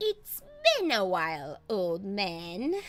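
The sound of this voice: This female-sounding voice is a put-on character voice. Its pitch sits at a medium level for a woman.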